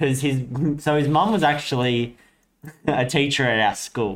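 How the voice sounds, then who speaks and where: Here a man talks with an Australian accent. His pitch is medium, with ordinary variation. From Australia, Sydney and Coffs Harbour. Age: 20s. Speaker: podcast co-host. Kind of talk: casual chat.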